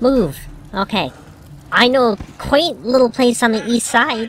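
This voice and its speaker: A female-sounding put-on character voice, fairly high in pitch and fairly slow, with clear background noise. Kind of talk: gaming commentary. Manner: zany, comedic.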